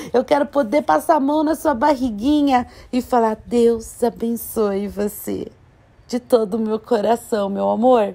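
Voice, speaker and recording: Lively in intonation and animated in tone, a woman talks at a fairly slow pace. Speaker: vlogger. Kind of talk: casual vlog talk. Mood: warm, affectionate. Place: shop. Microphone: phone near.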